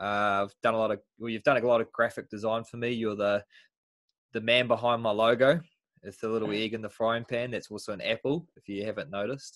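This man has a New Zealand accent and a medium-pitched voice, speaking at a fairly quick pace. His tone is enthusiastic, with big swings in loudness. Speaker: podcast host, nutritionist. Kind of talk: casual interview. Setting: video call.

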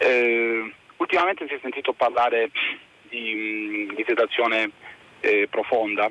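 A man of medium pitch talks at a fairly slow pace with ordinary pitch variation, taking long, frequent pauses. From Varese province, Lombardy. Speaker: caller. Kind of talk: call-in opinion. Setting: phone call.

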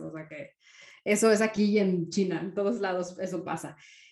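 A woman's monotone, flat delivery at a medium pitch and moderate pace, with noticeable background noise. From Mexico. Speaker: entrepreneur, marketing consultant. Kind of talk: interview.

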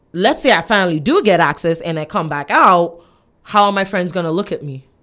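A plain, everyday voice from a woman, fairly low in pitch with ordinary pitch variation, at a fairly quick pace, in a very clean recording over a silent background. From Nigeria and US (born Chicago, raised in Nigeria). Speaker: podcast guest. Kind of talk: casual discussion.

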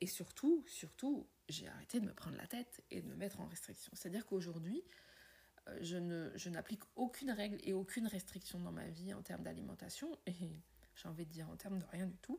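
A woman's somewhat breathy voice has a dark, mellow tone and medium pitch, moving at a moderate pace with ordinary pitch variation. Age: 50s. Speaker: podcaster and wellbeing coach. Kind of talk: personal monologue.

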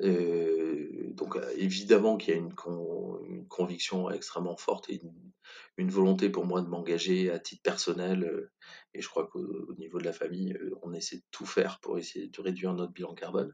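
Loudness rises and falls sharply as this man talks at an unhurried, middling speed. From France, Corrèze (Brive-la-Gaillarde). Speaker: communication agency founder. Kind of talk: interview.

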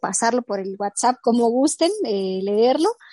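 A woman speaks with a fairly high pitch and a dark, mellow tone. The sound is dry and close, with no echo. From Baja California, Mexico (born in Mixteca Alta, Oaxaca). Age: 20s. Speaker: poet. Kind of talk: interview.

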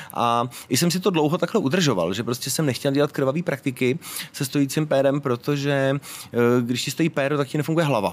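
This man has an ordinary speaking voice with a fairly high pitch. He talks at a fairly quick pace with ordinary pitch variation. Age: 40s. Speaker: BDSM event organizer and club co-owner. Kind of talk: casual interview. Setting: outdoors.

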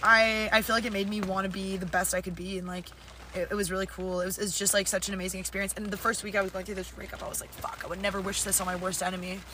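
A woman talks at a very fast pace at a medium pitch. Her intonation is monotone and flat, with noticeable background noise behind her. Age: young. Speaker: podcast co-host, tree planter. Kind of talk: casual chat.

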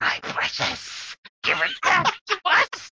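A hissing, put-on character voice. It moves at a very slow pace. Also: extremely high pitch. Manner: hissing, pleading.

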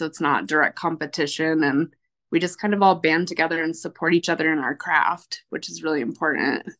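A woman speaks at a fairly low pitch with vocal fry. Her pace is moderate, and the background is quiet. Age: 30s. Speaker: coffee roaster and business owner. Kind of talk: interview.

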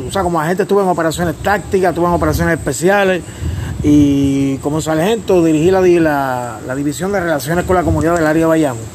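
With a Puerto Rican accent, a man speaks at a fairly high pitch with ordinary pitch variation, amid noticeable background noise and audible room echo. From Puerto Rico, Humacao area. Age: 50s. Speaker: professional wrestler and wrestling commentator. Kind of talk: interview. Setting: on location in Vieques.

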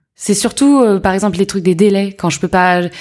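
This is a very clean recording with a silent background. A woman talks in a normal speaking voice. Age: 30s. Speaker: entrepreneur, accessories brand founder. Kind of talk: casual interview.

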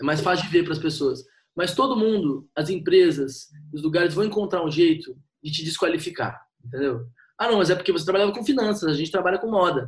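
Lively in intonation, a man speaks at a fairly quick pace in a high pitch. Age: 20s. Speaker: copywriter and marketing consultant. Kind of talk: casual chat.

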